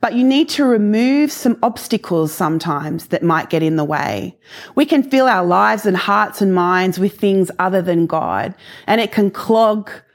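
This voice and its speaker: The recording is very clean, with a silent background, as a woman speaks with an Australian accent at a medium pitch. Her pitch swings very widely while her loudness stays very even. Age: 40s. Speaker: guest preacher. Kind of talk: sermon. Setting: recorded video message.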